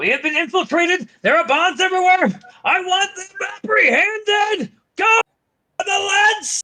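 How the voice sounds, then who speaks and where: In a put-on character voice with an extremely high pitch, the speaker moves at a moderate pace. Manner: commanding.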